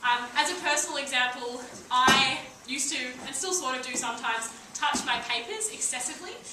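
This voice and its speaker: In a room with audible echo and noticeable background noise, a woman projects a raised, high-pitched voice with lively intonation. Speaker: debating trainer. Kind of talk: lecture. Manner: fast.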